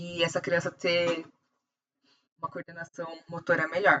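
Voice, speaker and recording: A woman speaks with a fairly low pitch. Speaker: optometrist teacher. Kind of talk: lecture. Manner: fast.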